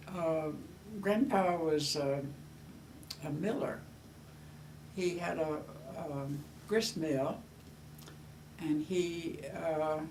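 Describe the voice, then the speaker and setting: A woman with a very deep, low voice speaks very slowly with ordinary pitch variation and long, frequent pauses, and room echo is audible. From US South, Georgia. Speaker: grandmother. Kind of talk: oral history interview. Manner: halting, many fillers.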